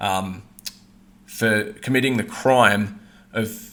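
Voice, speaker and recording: With a bright, sharp tone and a fairly low pitch, a man speaks in fairly even intonation amid audible room echo. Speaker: online commentator. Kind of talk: monologue. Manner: monotone.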